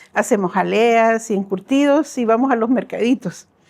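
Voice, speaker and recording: On a very clean recording with a silent background, a woman with a fairly high pitch and a dark, mellow tone speaks with ordinary pitch variation. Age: 60s. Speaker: church missions volunteer. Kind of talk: testimony interview.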